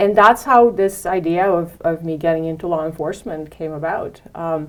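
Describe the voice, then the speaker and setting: A woman with a Romanian accent, a fairly low pitch, a moderate pace and fairly even intonation. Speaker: head of security. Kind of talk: interview. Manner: halting, many fillers.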